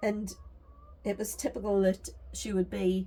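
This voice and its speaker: A woman with a Geordie accent, speaking at a moderate pace. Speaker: crafting vlogger and storyteller. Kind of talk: casual storytelling monologue. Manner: chatty, with fillers.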